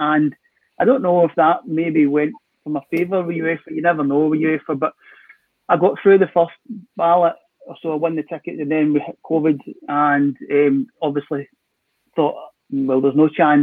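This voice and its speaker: A man speaks in a Scottish accent with a fairly high pitch and fairly even intonation. He leaves long, frequent pauses. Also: moderate pace. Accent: Scottish (Ayrshire). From Scotland, Ayrshire. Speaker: football author. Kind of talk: casual chat. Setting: video call.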